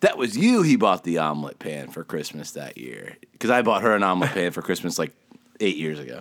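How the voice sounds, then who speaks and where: A man's very deep, low voice with an American accent, fairly quick, with vocal fry, big jumps in loudness and very wide pitch swings. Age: 30s. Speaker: podcast co-host. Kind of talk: casual chat.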